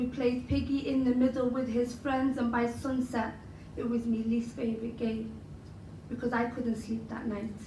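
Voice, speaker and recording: A woman with a Liverpool accent talks at a moderate pace in a high pitch, her intonation monotone and flat. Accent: Liverpool (Scouse). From Liverpool, England. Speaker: spoken word poet. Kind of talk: spoken word poetry performance.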